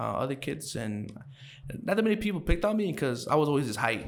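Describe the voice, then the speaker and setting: A man with a Chicago accent talks very fast in a fairly high voice with very wide pitch swings. Audible room echo surrounds his speech. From Chicago, Brighton Park. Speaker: podcast guest. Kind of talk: casual interview. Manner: halting, many fillers.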